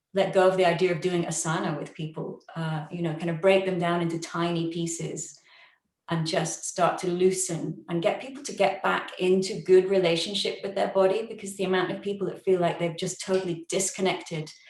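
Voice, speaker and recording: A woman speaks at a fairly quick pace in a flat, monotone delivery at a medium pitch, with audible room echo around her. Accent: British. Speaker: yoga teacher with long covid. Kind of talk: online forum talk, sharing personal experience. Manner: chatty, fast.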